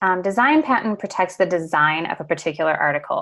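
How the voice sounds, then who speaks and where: Against a quiet background, a woman with an American accent speaks at a fairly quick pace. Her fairly low pitch shows ordinary variation. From US Midwest, Detroit area. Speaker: lawyer. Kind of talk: webinar presentation. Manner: hesitant, many fillers.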